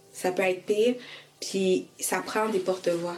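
Very slow speech from a woman, noticeable background noise behind it. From Quebec (raised from age 5, born in Haiti). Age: 20s. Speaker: licensed practical nurse and organization co-founder. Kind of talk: interview testimony.

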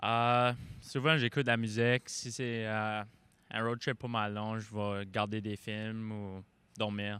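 A man speaks very slowly in a fairly low, flat monotone. His tone is bright and sharp, and the recording is very clean with a silent background. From Prince Edward Island. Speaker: junior hockey goalie. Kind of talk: casual interview. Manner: halting.

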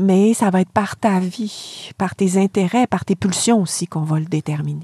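Speaking at a moderate pace, a woman with a medium-pitched, somewhat breathy voice and a dark, mellow tone comes through with a dry, close sound and no echo. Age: 50s. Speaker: philosophy professor. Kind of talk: lecture-style explanation in interview. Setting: camper van used as studio.

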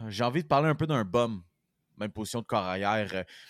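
A man with a Quebec accent speaks with very wide pitch swings. The sound is dry and close with no echo, and the recording is very clean with a silent background. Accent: Québécois French. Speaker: sports podcast host. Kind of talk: casual chat.

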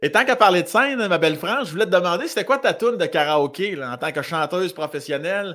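Talking at a very fast pace in a Quebec accent, a man sounds animated, with a high pitch and lively intonation. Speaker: podcast host. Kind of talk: casual chat, interview. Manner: animated, joking.

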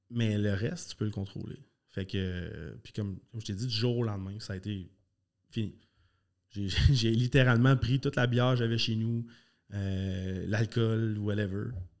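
Fairly low-pitched, this man talks at a fairly slow pace, leaving long, frequent pauses. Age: 30s. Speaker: karate school owner and former competitive athlete. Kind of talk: casual interview chat. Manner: animated, passionate.

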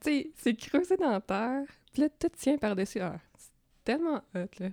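In a very clean recording with a silent background, a woman with a dark, mellow tone talks at a moderate pace with very wide pitch swings, the sound dry and close with no echo. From rural Quebec, near Drummondville. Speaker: comic book artist. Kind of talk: casual interview chat.

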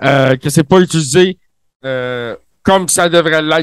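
A man with a high pitch and a Quebec accent speaks in an animated, playful tone. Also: dry, close sound with no echo. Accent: Quebecois French. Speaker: co-host. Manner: animated, playful ring announcer style.

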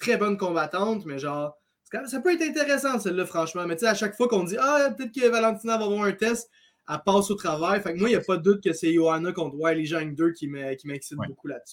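A man talks at a very fast pace with a high pitch and lively intonation. He speaks in a Quebec accent. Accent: Québécois French. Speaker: MMA analyst. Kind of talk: casual chat.

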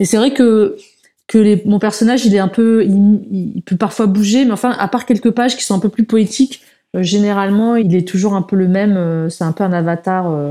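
Her voice is dark and mellow, pitched at a medium level for a woman. She keeps a moderate pace with ordinary pitch variation. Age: 40s. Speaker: comic book author. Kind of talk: interview conversation. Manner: halting.

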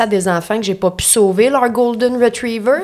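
Against noticeable background noise, a woman with a Quebec accent speaks at a moderate pace in a fairly high pitch with fairly even intonation. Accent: Québécois French. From Quebec (Lanaudière). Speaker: stand-up comedian. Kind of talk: casual chat. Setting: studio.

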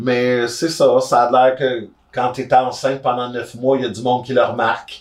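With a Quebec accent, a man speaks at a moderate pace. His medium-pitched voice stays monotone and flat. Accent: Québécois French. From Gatineau, Quebec. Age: 30s. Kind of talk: casual chat. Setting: on a sofa, in person.

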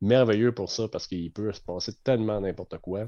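A man with a Quebec accent talks at a moderate pace, his tone dark and mellow. His pitch varies in an ordinary way against a quiet background. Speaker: umpire supervisor. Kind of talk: casual chat.

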